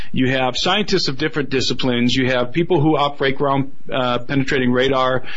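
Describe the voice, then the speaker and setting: Fairly quick speech from a man, with noticeable noise behind it. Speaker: filmmaker and researcher. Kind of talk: radio interview.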